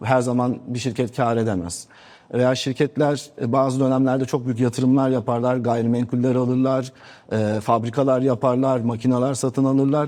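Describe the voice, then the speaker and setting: A man speaks in a flat monotone. His tone is dark and mellow. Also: medium pitch for a man, moderate pace. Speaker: business association president. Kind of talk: TV interview. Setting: TV studio, live.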